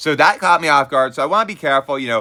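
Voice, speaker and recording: A man speaks with lively intonation and a bright, sharp tone on a very clean recording with a silent background. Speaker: video game let's play commentator. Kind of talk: gameplay commentary. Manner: fast.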